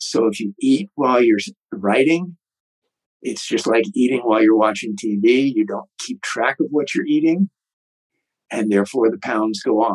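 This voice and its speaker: With an ordinary speaking voice, a man of medium pitch talks at a moderate pace with lively intonation, the sound dry and close with no echo. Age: 60s. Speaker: author and retired martial arts teacher. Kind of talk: interview.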